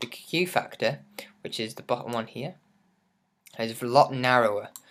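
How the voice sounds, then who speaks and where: A speaker with an English accent is heard on a very clean recording with a silent background. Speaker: music producer, tutorial channel host. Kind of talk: tutorial. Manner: casual, hesitant with many fillers.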